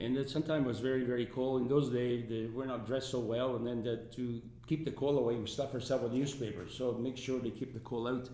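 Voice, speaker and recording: A man's medium-pitched voice with an Italian accent, very fast and almost pause-free, flat and monotone, amid noticeable background noise and audible room echo. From Italy. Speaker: resort founder and businessman. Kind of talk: interview. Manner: halting.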